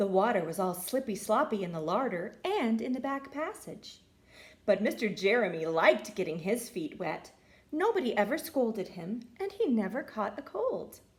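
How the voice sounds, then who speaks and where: With noticeable background noise behind her, a woman talks at a moderate pace in a fairly high voice with very wide pitch swings. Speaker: teacher. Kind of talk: children's story reading.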